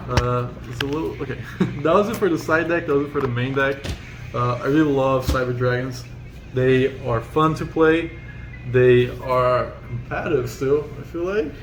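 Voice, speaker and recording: A man with a non-native accent speaks at a medium pitch. Noticeable background noise and audible room echo fill the recording. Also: ordinary pitch variation, moderate pace. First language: not English. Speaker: card game player. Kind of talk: casual deck profile chat.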